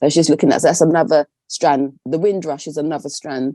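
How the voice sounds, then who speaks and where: With an English accent, a woman speaks in a dark, mellow tone with fairly even intonation, and the sound is dry and close with no echo. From England. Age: 60s. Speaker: textile artist. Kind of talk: interview. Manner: conversational.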